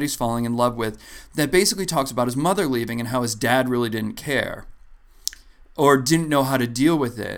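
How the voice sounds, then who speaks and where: A man speaks at a fairly quick pace with a medium pitch. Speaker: podcast co-host and stand-up comedian. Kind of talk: casual chat.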